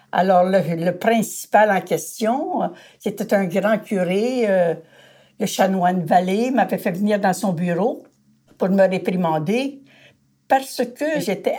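A woman's dark, mellow, medium-pitched voice at a very slow pace, with ordinary pitch variation, on a very clean recording with a silent background. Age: 80s+. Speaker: retired feminist activist. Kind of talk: storytelling interview.

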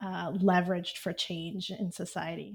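A somewhat breathy woman in an American accent, with medium pitch, monotone, flat intonation and a fairly slow pace, on a very clean recording with a silent background. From Texas, Houston area. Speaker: startup CEO. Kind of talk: interview.

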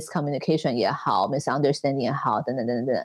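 The woman's voice comes through dry and close with no echo, over a quiet background. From Taiwan. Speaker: fashion entrepreneur and designer. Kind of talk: interview.

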